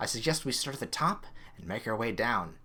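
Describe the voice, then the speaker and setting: A man does a put-on character voice at a medium pitch and a fairly quick pace. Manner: whispering.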